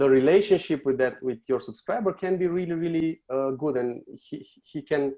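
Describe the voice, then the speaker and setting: A man with a Romanian accent talks at a moderate pace in a fairly high pitch, with hardly any pauses. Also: ordinary pitch variation. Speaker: marketing agency owner. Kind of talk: podcast interview. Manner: halting.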